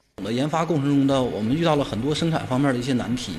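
A man speaks with a fairly high pitch and ordinary pitch variation over light background noise. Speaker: steel industry researcher. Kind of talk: interview soundbite.

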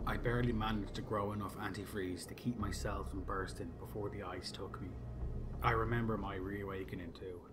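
Over music in the background, a man with a fairly low pitch talks at a fairly quick pace with lively intonation. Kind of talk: sci-fi horror story reading aloud, first-person narration from the alien's view.

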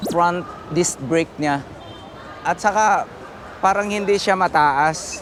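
Noticeable background noise sits behind a man speaking at a fairly slow pace. His pitch is high, with ordinary pitch variation. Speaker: motorcycle vlogger. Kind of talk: casual vlog walkthrough. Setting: indoor motor show. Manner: animated, laughing.

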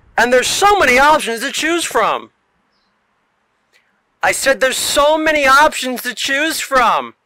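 A fairly slow pace broken by long, frequent pauses. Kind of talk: parody infomercial announcer read.

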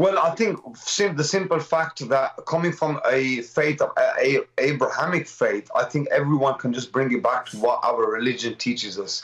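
With a Birmingham accent, a man speaks at a moderate pace with a fairly high pitch. His intonation is lively, and he hardly pauses. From Birmingham, British Kashmiri. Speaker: community activist; guest. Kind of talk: live TV interview. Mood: impassioned, indignant. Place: home room. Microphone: video call.

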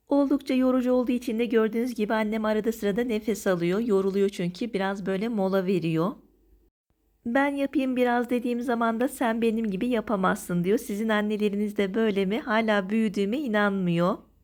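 At a fairly quick pace, a woman speaks in a fairly high voice with ordinary pitch variation and very even loudness, in a very clean recording with a silent background. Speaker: cooking vlogger. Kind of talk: tutorial. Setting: outdoors. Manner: energetic.

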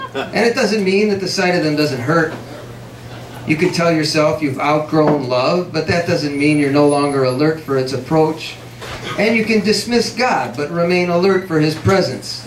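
Through audible room echo and light background noise, a man talks at a moderate pace with very even loudness and ordinary pitch variation. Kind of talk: literary reading. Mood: reflective, measured. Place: cafe. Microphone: camera far.

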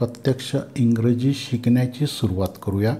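A man's medium-pitched voice has a dark, mellow tone and is somewhat breathy. His intonation stays fairly even. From Maharashtra, India (Nashik). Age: 60s. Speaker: English teacher. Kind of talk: lecture. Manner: formal.

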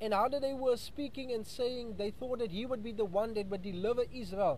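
A man's high-pitched voice with ordinary pitch variation, light background noise, and a dry sound with no echo. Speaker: preacher, radio Bible teacher. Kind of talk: sermon / Bible study radio broadcast. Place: street. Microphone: earbuds.

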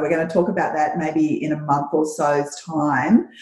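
In an Australian accent, the speaker talks at a moderate pace with audible room echo. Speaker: podcast host; interview host. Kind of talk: interview. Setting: video call. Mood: warm, supportive. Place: home room. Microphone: video call.

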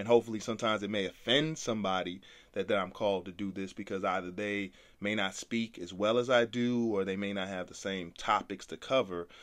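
Speaking very fast with fairly even intonation, a man talks in an American accent. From Brooklyn, New York, later North Carolina. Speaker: podcast host, entrepreneur. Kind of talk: casual chat.

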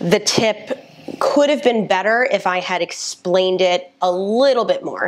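Light background noise behind a woman speaking. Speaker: nutrition creator. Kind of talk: casual vlog chat reacting to her old video. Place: home room. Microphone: lapel.

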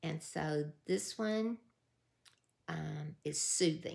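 A woman is speaking. She has a Southern US accent. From US South. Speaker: YouTube creator running a giveaway. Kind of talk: casual vlog giveaway announcement. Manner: warm, emotional. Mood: warm, nostalgic. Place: home room. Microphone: phone near.

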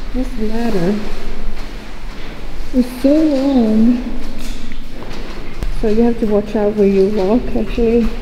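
A woman talks at a very slow pace, with light background noise behind her. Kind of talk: casual exploration commentary. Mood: curious, amazed. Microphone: phone near.

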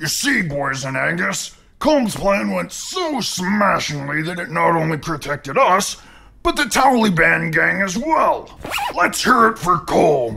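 A man's high-pitched voice at a fairly slow pace, with very wide pitch swings. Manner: exasperated, sarcastic.

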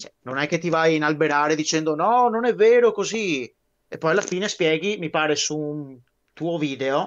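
Moderate pace, with ordinary pitch variation. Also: man, fairly high pitch for a man. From Veneto, Italy. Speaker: guest on a military history live stream; guest. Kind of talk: casual chat. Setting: live stream. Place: home room. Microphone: video call.

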